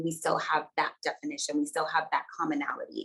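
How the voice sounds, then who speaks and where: A woman with a Virgin Islands accent at a fairly quick pace. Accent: Virgin Islands Caribbean. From US Virgin Islands, Saint Croix. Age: 30s. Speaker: researcher and dancer. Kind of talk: webinar talk.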